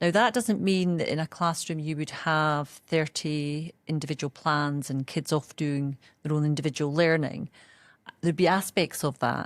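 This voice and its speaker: A woman's very deep, low voice in a Scottish accent, at a moderate pace with ordinary pitch variation, in a dry, close sound with no echo and a very clean recording with a silent background. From Scotland. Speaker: education executive. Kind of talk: interview.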